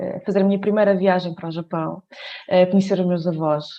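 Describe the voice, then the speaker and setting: A woman with ordinary pitch variation. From Portugal, Coimbra. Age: 20s. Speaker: dancer. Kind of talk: podcast interview. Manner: hesitant, many fillers.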